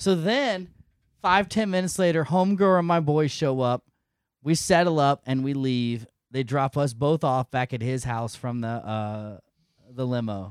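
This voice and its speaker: In a very clean recording with a silent background, a man with an ordinary speaking voice talks at a fairly high pitch with lively intonation. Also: moderate pace. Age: 40s. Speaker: podcaster and military member. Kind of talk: casual chat.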